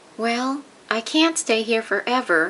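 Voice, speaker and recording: This is a put-on character voice that sounds female, pitched fairly high. The pace is fairly slow. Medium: read story. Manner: bright, eager.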